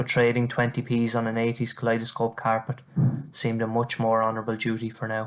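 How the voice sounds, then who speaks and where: Very fast, monotone speech with flat intonation in an Irish accent, over a quiet background. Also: man, medium pitch for a man. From Ireland, County Wexford. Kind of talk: poetry reading.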